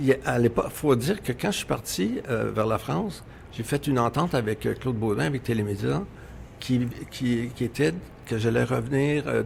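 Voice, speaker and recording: A man talks at a moderate pace with medium pitch and vocal fry. His intonation is lively. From Quebec. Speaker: radio executive. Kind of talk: interview.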